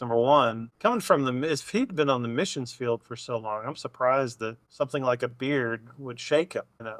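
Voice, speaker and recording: A man with a normal speaking voice at medium pitch, ordinary pitch variation, moderate pace and hardly any pauses, in dry, close sound with no echo. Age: 40s. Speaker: podcast co-host. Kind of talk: casual chat.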